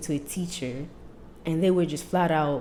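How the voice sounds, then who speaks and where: Soft-spoken and fairly low in pitch, a woman talks with an American accent and ordinary pitch variation. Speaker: podcast host. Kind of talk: casual chat.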